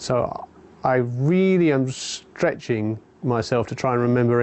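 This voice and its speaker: The delivery comes at a fairly slow pace. Pitch varies in an ordinary way. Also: man. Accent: southern English. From England, London. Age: 40s. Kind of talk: personal testimony. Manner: hesitant, many fillers.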